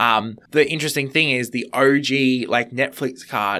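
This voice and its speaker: A man speaks with an Australian accent at medium pitch. His tone is bright and sharp, with ordinary pitch variation. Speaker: podcast guest, fellow podcaster. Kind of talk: casual chat.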